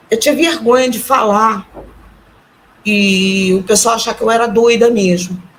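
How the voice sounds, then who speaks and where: This woman's voice is fairly high-pitched, and she keeps a moderate pace. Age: 60s. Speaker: retiree and artisan, near-death experience witness. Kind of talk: testimony. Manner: halting.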